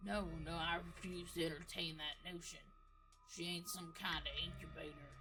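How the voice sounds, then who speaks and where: A put-on character voice at middle pitch and moderate pace, with clear background noise. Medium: solo performance. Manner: drawling, halting.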